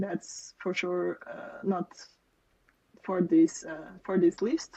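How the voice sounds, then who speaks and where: In a Portuguese accent, a woman speaks at a fairly slow pace with a dark, mellow tone. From Portugal. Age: 30s. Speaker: software developer. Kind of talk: interview.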